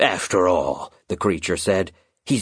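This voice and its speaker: A man is speaking. His pace is very slow. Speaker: audiobook narrator. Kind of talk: dramatic audiobook narration of a children's fantasy story, storytelling tone. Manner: hushed, suspenseful and slow, building tension as Concord's heart stops; grave, measured and ominous, with a chilling undertone.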